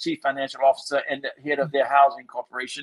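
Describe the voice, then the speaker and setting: This man has an American accent. The sound is dry and close, with no echo. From Washington, D.C. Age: 60s. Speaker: chef and community leader. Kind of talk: interview conversation. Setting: podcast interview. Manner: animated.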